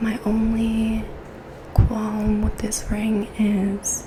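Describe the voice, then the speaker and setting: Soft-spoken and very slow, the speech comes through noticeable background noise. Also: woman. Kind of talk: ASMR show and tell.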